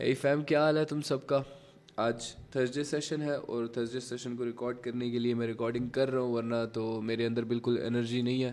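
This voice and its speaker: A medium-pitched man talks at a moderate pace with monotone, flat intonation. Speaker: trading educator. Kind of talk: tutorial. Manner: casual.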